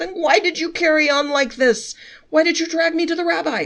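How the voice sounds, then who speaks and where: In a put-on character voice, a woman squeaks out her lines at a fairly quick pace and an extremely high pitch. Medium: read story. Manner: irritable, exasperated.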